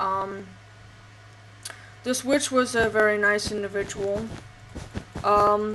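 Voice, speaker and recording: Over noticeable background noise, a woman speaks at medium pitch and a very slow pace, in a monotone, flat intonation broken by long, frequent pauses. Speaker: gaming channel host and role-player. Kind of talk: storytelling. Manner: halting, many fillers; subdued, low energy.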